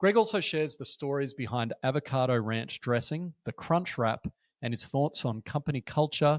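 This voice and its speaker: Captured dry and close with no echo and a silent, very clean background, a man with an Australian accent talks at a fairly quick pace with ordinary pitch variation. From Australia, Brisbane. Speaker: podcast host. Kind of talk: podcast interview.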